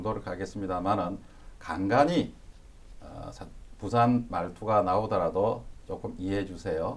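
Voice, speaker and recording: A man with a slight Busan accent, fairly low pitch and ordinary pitch variation at a fairly slow pace, with audible room echo. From South Korea, Busan. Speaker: university professor. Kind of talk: lecture.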